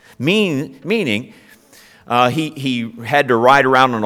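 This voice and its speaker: Here a man with an American accent talks at a medium pitch with lively intonation. His is an unremarkable speaking voice. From Ohio, US Midwest. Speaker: pastor. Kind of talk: sermon.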